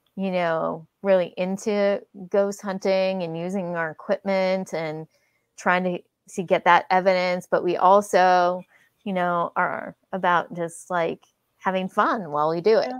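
With a Californian accent, a woman speaks at a fairly slow pace and a medium pitch, her intonation monotone and flat, over a quiet background. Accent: General American (California). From San Francisco Bay Area, California. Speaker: paranormal investigator. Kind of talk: casual chat.

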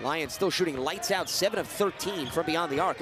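Background noise can be noticeably heard as a man speaks. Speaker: play-by-play commentator. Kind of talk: live sports commentary, highlight reel. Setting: broadcast over game footage.

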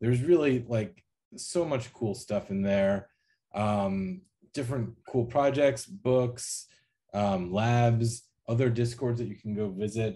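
Speaking at a fairly slow pace, a man uses a dark, mellow tone with ordinary pitch variation. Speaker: panel moderator, academic; panel moderator. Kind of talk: panel moderation. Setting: video call. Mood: warm, enthusiastic. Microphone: webcam.

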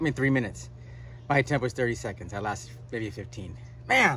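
A man talks at a very fast pace with vocal fry. The sound is dry with no echo, and there is light background noise. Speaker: vlogger. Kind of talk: casual vlog chat. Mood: pained, laughing at himself. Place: garden. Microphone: phone near.

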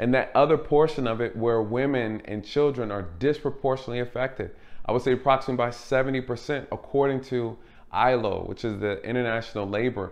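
This man talks at a fairly quick pace with fairly even intonation. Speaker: channel host. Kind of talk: commentary. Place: home room.

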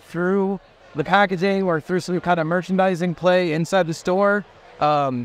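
At a moderate pace, a man with a high pitch talks with fairly even intonation in a dry sound without echo. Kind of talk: interview answer. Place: hall.

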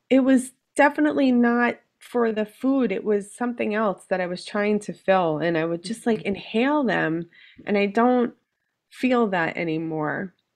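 A woman talks at a moderate pace with lively intonation against a quiet background. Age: 40s. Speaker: weight loss surgery patient; podcast guest. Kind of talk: casual chat. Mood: relaxed, candid. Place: home room.

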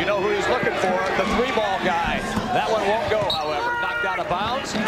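Loud background noise fills the clip. Through it, a man can be heard talking. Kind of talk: live sports commentary. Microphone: headset.

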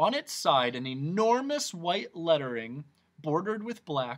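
At a fairly slow pace, a man speaks with a fairly high pitch, big pitch swings and a fairly bright tone.

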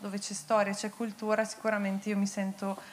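Her pitch is fairly high. This woman speaks at a moderate pace. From Bergamo, northern Italy; northern Italy. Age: 30s. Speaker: paralympic athlete; guest. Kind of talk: on-stage interview. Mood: warm, grateful. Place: stage. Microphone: handheld.

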